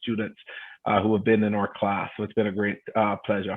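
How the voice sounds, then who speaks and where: A man talks at a medium pitch. He has a Jamaican accent. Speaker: adjunct professor and private equity investor. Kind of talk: panel talk.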